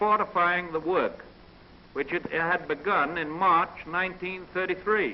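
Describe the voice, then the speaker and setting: This man has a high pitch with ordinary pitch variation. He talks with an American accent. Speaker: national political leader. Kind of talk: presidential radio address. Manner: intimate, conversational.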